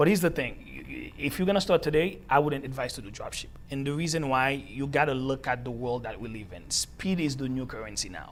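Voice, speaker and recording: Speaking at a fairly quick pace with hardly any pauses, a man with a Haitian accent shows vocal fry and big swings in loudness. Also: fairly high pitch for a man, ordinary pitch variation. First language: Haitian Creole. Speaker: entrepreneur. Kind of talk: interview. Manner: halting, repeats words.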